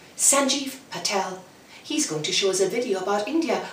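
The clip is plain reading aloud with lively intonation.

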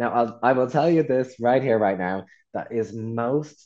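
A man with an Irish accent and a dark, mellow tone talks at a moderate pace against a quiet background. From rural Ireland. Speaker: workshop facilitator. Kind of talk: online workshop presentation.

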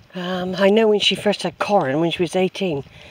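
A woman's voice with fairly even intonation, dry and free of echo. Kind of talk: casual vlog chat. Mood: nostalgic, tender. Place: open country. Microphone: phone near.

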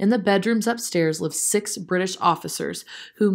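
A natural reading voice with ordinary pitch variation carries the clip.

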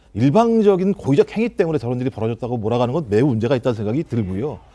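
Very fast and with very wide pitch swings, a man speaks in a dark, mellow tone. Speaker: political commentator. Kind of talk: TV panel discussion. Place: studio.

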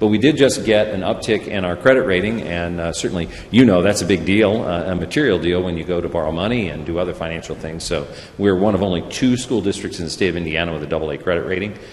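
A man with an American accent speaks very fast in a very deep, low voice. His pitch varies in an ordinary way, and there is light background noise. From US Midwest. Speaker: school superintendent. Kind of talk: presentation. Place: hall. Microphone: podium.

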